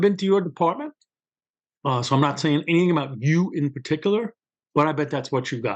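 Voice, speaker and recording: With a Brooklyn accent, a man talks at a very fast pace. His pitch variation is ordinary, and the background is quiet. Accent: New York (Brooklyn). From New York City, Brooklyn. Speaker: criminal justice official and author. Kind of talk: interview. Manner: conversational, storytelling.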